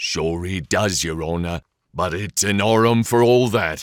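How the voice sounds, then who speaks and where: A man growls in a put-on character voice. It is very deep and low, at a moderate pace. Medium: read story. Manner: deferential, mispronouncing words.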